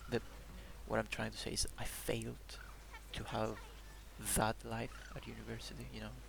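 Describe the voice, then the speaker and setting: Against noticeable background noise, a man speaks at a moderate pace with ordinary pitch variation, big swings in loudness, and long, frequent pauses. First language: Greek. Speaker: video journal vlogger. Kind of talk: personal video diary. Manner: halting.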